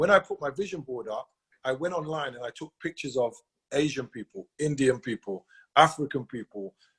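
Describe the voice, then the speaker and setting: A somewhat breathy, fairly high male voice at a fairly quick pace, with ordinary pitch variation, big swings in loudness and a dry, close sound with no echo. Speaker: sales team leader. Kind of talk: motivational talk. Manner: fast.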